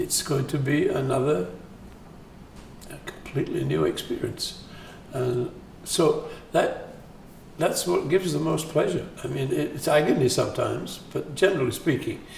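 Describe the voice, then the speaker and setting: With noticeable background noise and audible room echo, a man speaks at a moderate pace, leaving long, frequent pauses. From northern England, Sheffield. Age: 80s+. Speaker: composer. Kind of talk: interview. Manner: halting.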